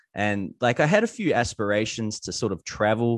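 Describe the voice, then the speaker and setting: Someone speaks with a New Zealand accent against a quiet background. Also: man. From New Zealand, Gisborne. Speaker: online entrepreneur. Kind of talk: interview. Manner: casual.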